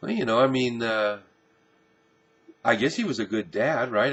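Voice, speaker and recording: The man talks at a moderate pace. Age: 60s. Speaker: pastor. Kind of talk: casual monologue. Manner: halting.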